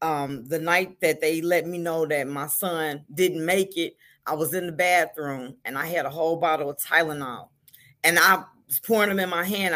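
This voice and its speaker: A woman with an American accent talks in a plain, everyday voice at fairly low pitch. Her moderate pace and ordinary pitch variation come through on a very clean recording with a silent background. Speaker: grieving mother and volunteer with a support organization. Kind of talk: testimony.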